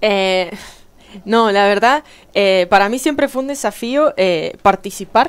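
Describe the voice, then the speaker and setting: Her intonation is lively. The woman speaks at a very slow pace. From Argentina. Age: 20s. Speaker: newly elected city councillor; newly elected councillor. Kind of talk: radio interview. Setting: radio studio. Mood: earnest, calm, proud. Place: studio. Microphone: headset.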